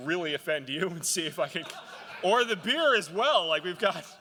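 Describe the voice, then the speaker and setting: A man at a fairly quick pace. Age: 40s. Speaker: keynote speaker. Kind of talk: conference keynote. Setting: stage with audience. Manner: animated, hesitant fillers.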